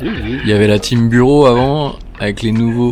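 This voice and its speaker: A man speaking at a very slow pace, with audible room echo and music in the background. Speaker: vlogger, business owner. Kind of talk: casual vlog chat.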